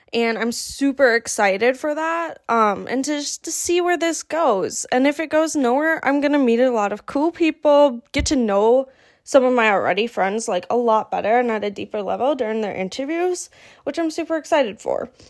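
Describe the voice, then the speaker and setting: A woman with a high pitch and lively intonation speaks at a moderate pace on a very clean recording with a silent background. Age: 20s. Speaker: podcast host. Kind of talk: casual solo chat. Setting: home office. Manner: hesitant, many fillers.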